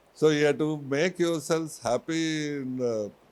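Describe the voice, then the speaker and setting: A man is speaking. He talks with a Telugu accent. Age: 70s. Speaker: university chairman. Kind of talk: motivational speech.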